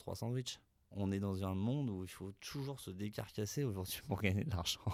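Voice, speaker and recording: A man with an unremarkable speaking voice, a fairly low pitch and ordinary pitch variation speaks at a moderate pace in a very clean recording with a silent background. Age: 30s. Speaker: bakery business owner. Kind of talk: interview conversation.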